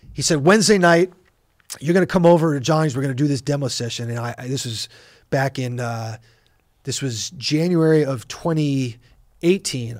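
The speaker has a Californian accent and ordinary pitch variation, with long, frequent pauses. The recording is very clean, with a silent background. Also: man. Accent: Californian American. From Los Angeles. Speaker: rock drummer. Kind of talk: casual interview chat. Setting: recording studio.

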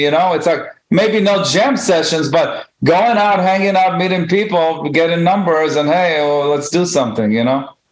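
This man has an Israeli accent and a high pitch. He talks at a moderate pace. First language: Hebrew. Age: 50s. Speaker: guitarist and music teacher. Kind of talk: casual chat.

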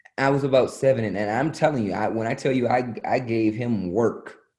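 Speaking at a medium pitch, a man with an American accent sounds somewhat breathy. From US. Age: 30s. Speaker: comedian and actor. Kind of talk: casual interview.

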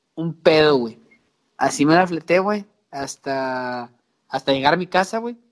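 In a Mexican accent, the speaker talks at a fairly slow pace with long, frequent pauses. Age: 30s. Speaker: podcast co-host. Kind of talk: casual chat.

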